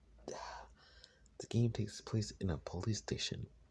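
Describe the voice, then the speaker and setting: A man speaks with a dark, mellow tone and a somewhat breathy quality. The background is quiet. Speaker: gaming lore youtuber. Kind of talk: casual video commentary. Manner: halting. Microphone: recorded on phone.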